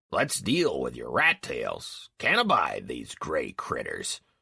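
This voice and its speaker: A man puts on a character voice, raspy and extremely high in pitch. He speaks at a fairly slow pace. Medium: read story. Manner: brusque, impatient.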